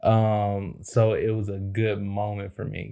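In an American accent, a man with a fairly low pitch and a dark, mellow tone speaks in monotone, flat intonation on a very clean recording with a silent background. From Chicago, South Side. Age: 30s. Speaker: podcast co-host. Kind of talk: casual chat.

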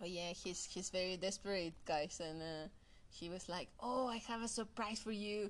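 Moderate-paced speech from a woman with a Mexican accent, medium pitch, and ordinary pitch variation. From Mexico. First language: Spanish. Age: 30s. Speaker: photographer. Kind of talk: casual chat. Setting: video call. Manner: halting.

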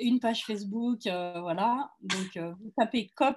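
Fairly high-pitched and with ordinary pitch variation, a woman talks in an ordinary speaking voice. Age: 60s. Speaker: wellness cooperative founder. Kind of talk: casual interview.

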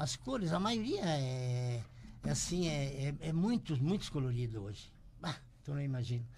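A man speaks at a fairly high pitch and a fairly slow pace, sounding somewhat breathy. His intonation is lively and his loudness very even. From Rio Grande do Sul, Brazil. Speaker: shoemaker and business owner. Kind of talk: interview storytelling. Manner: halting, repeats words.

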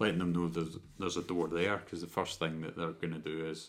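In a Scottish accent, a man with a very deep, low pitch talks at a fairly quick pace in a monotone, flat intonation. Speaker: podcast co-host. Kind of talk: casual chat.

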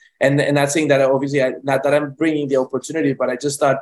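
This man talks in a Spanish accent at a fairly high pitch. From Colombia, Medellin. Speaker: film director. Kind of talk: interview. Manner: halting, many repetitions.

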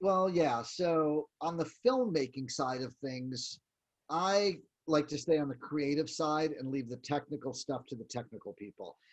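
A man talks at a fairly slow pace in a normal speaking voice. His loudness swings widely. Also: fairly high pitch for a man, ordinary pitch variation. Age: 50s. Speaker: professional photographer. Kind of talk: interview.

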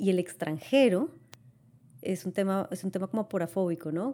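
A woman speaks at a medium pitch with ordinary pitch variation. Her tone is dark and mellow. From Latin America. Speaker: podcast co-host. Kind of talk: casual chat. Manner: halting.

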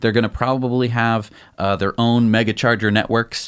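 An unremarkable speaking voice from a man, fairly low in pitch, at a moderate pace in a very clean recording with a silent background. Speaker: tech news show co-host. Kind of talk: casual news chat.

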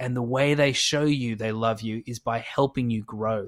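A man with an Australian accent speaks at a moderate pace with ordinary pitch variation. The recording is very clean, with a silent background and a dry, close sound with no echo. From Australia, Adelaide. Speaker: podcast co-host. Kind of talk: casual chat.

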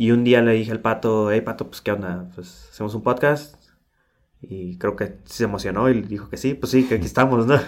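A man talks at a moderate pace and medium pitch, with fairly even intonation. His loudness swings widely in an unremarkable speaking voice. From Tijuana, Mexico. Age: 30s. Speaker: podcast co-host, UX designer. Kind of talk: casual chat.

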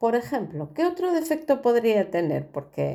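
The woman's tone is dark and mellow. She talks at a moderate pace. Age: 60s. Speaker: podcast host and storyteller. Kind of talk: personal monologue. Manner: hesitant with frequent fillers.

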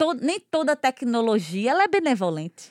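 Recorded with a dry, close sound and no echo, a woman speaks in a fairly high voice that swings very widely in pitch. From Goiana, Pernambuco, Brazil. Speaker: podcast host and cultural producer. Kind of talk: interview.

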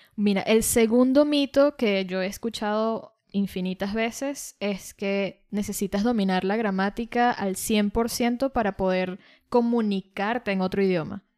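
A woman with a Venezuelan accent, medium pitch and ordinary pitch variation at a fairly slow pace with hardly any pauses, in a dry, close, very clean recording over a silent background. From Venezuela, Caracas. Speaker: podcast co-host, language teacher. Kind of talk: casual chat. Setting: studio.

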